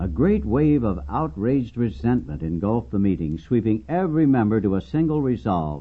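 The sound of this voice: An unforced reading voice delivers the text.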